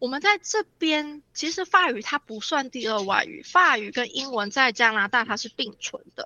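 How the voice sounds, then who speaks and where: Speaking at a moderate pace with hardly any pauses, a woman with a high pitch sounds animated, her pitch swinging very widely and her loudness rising and falling sharply. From Taiwan, Nantou. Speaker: immigrant mother of three. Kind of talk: interview.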